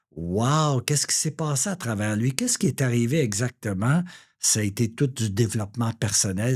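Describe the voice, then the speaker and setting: Somewhat breathy and fairly slow, a man talks at a medium pitch on a very clean recording with a silent background. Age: 60s. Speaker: real estate broker. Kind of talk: interview. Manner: hesitant, many fillers.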